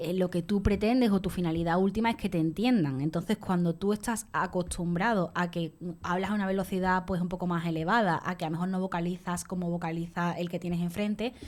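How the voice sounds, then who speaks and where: An unremarkable speaking voice moves at a fairly quick pace with hardly any pauses and fairly even intonation. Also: woman, medium pitch for a woman. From Andalusia. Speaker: radio columnist. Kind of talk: radio panel discussion.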